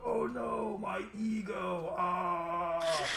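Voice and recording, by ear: Over loud background noise and a slight echo, a man puts on a character voice with a high pitch.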